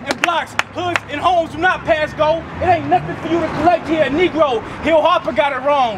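With music playing in the background, a man talks at a fairly quick pace. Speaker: street poet. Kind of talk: spoken-word poetry performance. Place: street.

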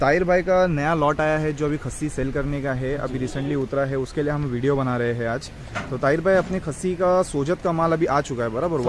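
A man talks at a moderate pace with ordinary pitch variation and hardly any pauses. Light background noise sits under a dry sound with no echo. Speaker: video host. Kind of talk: casual interview chat. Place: farm machine. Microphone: phone near.

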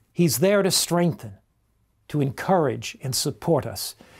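The background is quiet. A man speaks with very wide pitch swings. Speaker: pastor, preacher. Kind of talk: sermon, religious teaching. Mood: calm, earnest, reassuring. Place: home room. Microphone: lapel.

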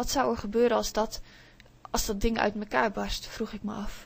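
Her tone gentle, a woman speaks at a moderate pace in a fairly high voice with fairly even intonation. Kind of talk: audiobook reading aloud of a children's story, told in first person by a child narrator. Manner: gentle, dreamy, storytelling pace with small voices for the imaginary friend.

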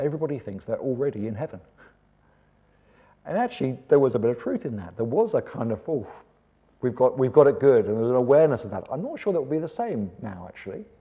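Against a quiet background, a man speaks very fast in a dark, mellow tone with lively intonation, big swings in loudness, and long, frequent pauses. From England. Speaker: preacher. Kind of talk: seminar talk. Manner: animated. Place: hall. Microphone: lapel.

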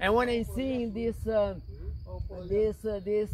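An intense, high-pitched male voice. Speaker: missionary preacher. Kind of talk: fervent prayer, leading a group in intercession; sermon-like address with prayer. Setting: outdoors in the mountains. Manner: intense, earnest, declaratory; repetitive, call-and-response rhythm. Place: open country. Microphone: camera far.

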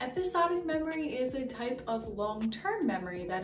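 At a fairly slow pace, a woman talks over clear background music. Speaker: educator on language development. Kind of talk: educational explainer. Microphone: earbuds.

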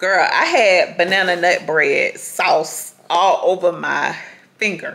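A woman's fairly low, fairly bright voice at a slow pace

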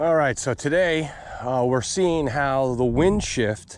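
A man speaks at a moderate pace. The sound is dry with no echo, over light background noise. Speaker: fishing guide. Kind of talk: casual vlog chat. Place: waterside. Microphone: phone near.

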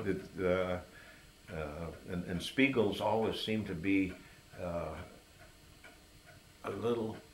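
A man with an American accent speaks at a very slow pace, with long, frequent pauses and a relaxed tone. His pitch is very deep and low with ordinary variation, over light background noise. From Hector, New York, USA. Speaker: oral history interviewee, lifelong local resident. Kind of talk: oral history interview answer. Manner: relaxed, reminiscing. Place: home room. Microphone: camera far.

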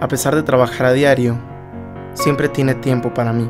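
Against music in the background, the voice moves at a moderate pace with ordinary pitch variation. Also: man, medium pitch for a man. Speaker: voice actor. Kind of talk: scripted promotional narration. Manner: heartfelt, tender.

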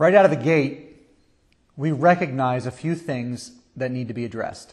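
Against a quiet background, a man speaks at a moderate pace with big swings in loudness. His voice is somewhat breathy, and its pitch varies in an ordinary way. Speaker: pastor. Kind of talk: sermon preached online. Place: church. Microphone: lapel.

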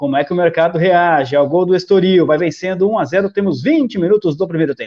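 A man with a Brazilian accent talks at a fairly quick pace in a high pitch, with ordinary pitch variation, hardly any pauses and a quiet background. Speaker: sports betting live commentator. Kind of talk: live sports commentary. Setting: online livestream. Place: home room. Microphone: headset.

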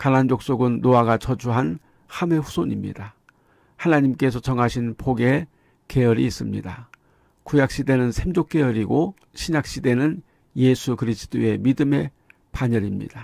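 In an ordinary speaking voice, a man speaks at medium pitch and a moderate pace. His pitch variation is ordinary and his loudness very even. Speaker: preacher. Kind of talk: sermon. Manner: formal; earnest, didactic.

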